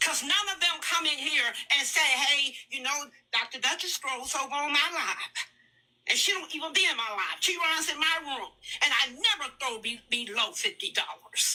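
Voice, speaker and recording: Raising and projecting her voice, a woman speaks at a moderate pace in a high pitch with a bright, sharp tone and lively intonation. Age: 60s. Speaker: online creator with a doctorate. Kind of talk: heated debate. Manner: emphatic.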